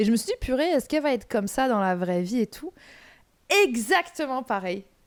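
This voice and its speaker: Loud and animated, a woman speaks at a moderate pace in a high pitch with very wide pitch swings. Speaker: podcast host. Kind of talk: casual chat.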